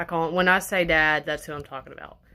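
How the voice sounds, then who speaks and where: Heard on a very clean recording with a silent background, the voice has a bright, sharp tone, a Southern US accent and monotone, flat intonation. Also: woman. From Arkansas. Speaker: vlogger. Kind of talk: casual chat. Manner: halting.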